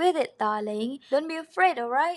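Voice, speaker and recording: The speaker is a woman with a non-native accent. Her pitch varies in an ordinary way. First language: not English. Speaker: craft and design tutorial creator. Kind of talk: tutorial. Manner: animated; casual with fillers.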